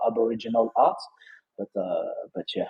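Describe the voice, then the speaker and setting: This man speaks with a strong French accent at a moderate pace. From France, Lyon. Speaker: NFT trader and entrepreneur. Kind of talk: casual interview chat. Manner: halting, many repetitions and fillers.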